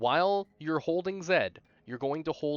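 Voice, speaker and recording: The voice has ordinary pitch variation, with music playing in the background. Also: man. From Canada. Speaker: speedrunner. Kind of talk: tutorial. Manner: unscripted, casual with fillers.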